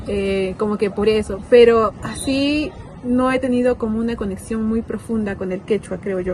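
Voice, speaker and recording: Against noticeable background noise, a woman with fairly high pitch speaks at a moderate pace. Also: ordinary pitch variation. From Peru, Arequipa. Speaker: documentary interviewee. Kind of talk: interview testimony.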